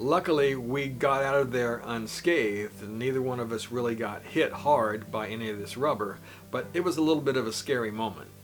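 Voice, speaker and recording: Over noticeable background noise with audible room echo, a man speaks at a fairly quick pace with hardly any pauses, at a medium pitch with ordinary pitch variation. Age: 60s. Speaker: motorcycle travel vlogger. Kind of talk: travel vlog narration.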